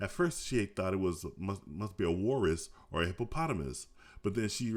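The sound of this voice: Just an unforced reading voice, nothing more.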